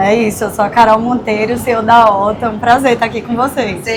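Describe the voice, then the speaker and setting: Over noticeable background noise, a woman talks at a very fast pace in a fairly high, monotone, flat voice. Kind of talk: professional, introducing herself as a CEO.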